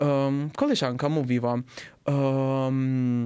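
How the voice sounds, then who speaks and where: A man speaks at a fairly high pitch with an Italian accent. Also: quiet background. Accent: Italian accent in Polish. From southern Italy. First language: Italian (speaking Polish). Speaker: podcast guest, Italian living in Poland; podcast guest. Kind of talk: casual interview. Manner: halting, with many fillers. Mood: relaxed, friendly. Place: studio. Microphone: studio mic.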